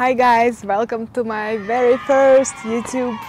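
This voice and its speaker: A woman's fairly high voice with a non-native accent at a fairly slow pace, over noticeable background noise. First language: not English. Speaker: self-help YouTuber. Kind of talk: personal advice vlog.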